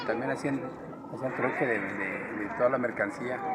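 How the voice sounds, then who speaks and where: A man with a medium pitch talks at a moderate pace with ordinary pitch variation, with audible room echo and crowd noise in the background. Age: 60s. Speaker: passerby interviewee. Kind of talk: street interview.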